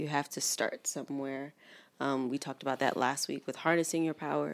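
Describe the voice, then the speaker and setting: Very clean recording, silent background, as a woman speaks at a very deep, low pitch. Her intonation is fairly even. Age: 30s. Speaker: podcast co-host. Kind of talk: casual chat.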